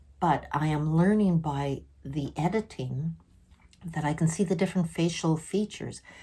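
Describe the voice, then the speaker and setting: In a very clean recording with a silent background, a woman speaks at a moderate pace, her voice very deep and low, dark and mellow, somewhat breathy, with ordinary pitch variation. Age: 60s. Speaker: vlogger sharing mental health experiences. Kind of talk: personal vlog monologue.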